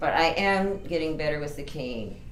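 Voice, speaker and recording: Noticeable background noise and audible room echo surround the voice. The speaking pace is moderate. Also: woman. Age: 60s. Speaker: author. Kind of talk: tutorial. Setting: home bedroom. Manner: casual.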